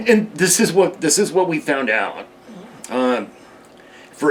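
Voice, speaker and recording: Amid noticeable background noise, a man speaks fairly slowly with very wide pitch swings. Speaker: heavy equipment operator. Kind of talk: interview answer.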